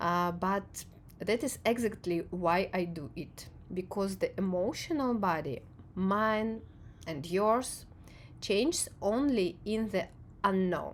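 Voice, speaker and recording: A woman speaks at a very slow pace with a non-native accent. Her pitch is medium and its variation ordinary. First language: not English. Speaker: video essayist on perception and emotion. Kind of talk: reflective monologue to camera. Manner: halting, with frequent fillers.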